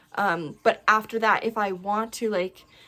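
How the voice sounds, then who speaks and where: A woman's fairly high voice, bright and sharp in tone, with fairly even intonation. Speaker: stitching video creator. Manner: fast talker.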